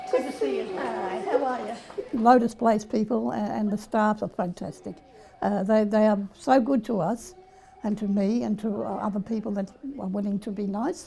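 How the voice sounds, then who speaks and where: With an Australian accent, a woman speaks at a fairly high pitch with ordinary pitch variation. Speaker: former orphanage resident, service user. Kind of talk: testimony. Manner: fast.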